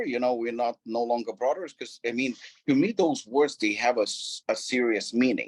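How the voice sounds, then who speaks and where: With a non-native accent, a man talks at a moderate pace and medium pitch, with ordinary pitch variation. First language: not English. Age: 40s. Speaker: gym and supplement company owner. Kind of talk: interview. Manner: repetitive, animated.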